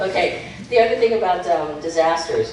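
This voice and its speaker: A fairly low-pitched woman's voice with an American accent and very wide pitch swings, amid noticeable background noise and audible room echo. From Key West, Florida. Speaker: political candidate. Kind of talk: campaign speech. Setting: stage with audience. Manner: animated.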